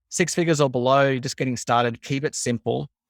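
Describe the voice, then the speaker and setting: Someone with an Australian accent talks at a very fast pace on a very clean, dry, close recording with a silent background and no echo. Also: man. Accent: warm Australian. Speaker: marketing coach. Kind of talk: interview.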